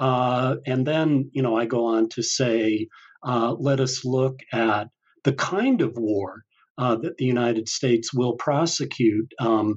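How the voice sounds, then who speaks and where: A man with an American accent, medium in pitch with ordinary variation, at a very slow pace. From Utah, US (Salt Lake City). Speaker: history professor and author. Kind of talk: interview. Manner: halting, many fillers.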